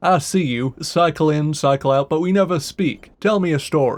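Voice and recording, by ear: A man puts on a booming character voice with a fairly high pitch, moving at a moderate pace.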